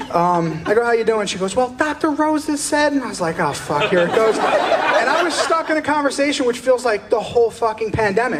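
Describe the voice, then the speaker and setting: A man with an American accent talks at a fairly quick pace with hardly any pauses, his pitch extremely high and swinging very widely. Room echo is audible, and crowd noise sits in the background. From US East Coast. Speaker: stand-up comedian. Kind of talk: stand-up. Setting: stage with audience.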